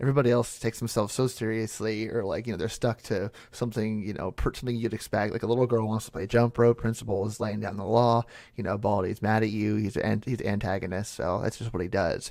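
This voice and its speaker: A man talks at a very fast pace with hardly any pauses, his fairly low voice monotone and flat. The recording is very clean, with a silent background. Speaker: ASMR creator / YouTuber. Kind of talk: casual talk to camera, Q&A. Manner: soft-spoken, relaxed.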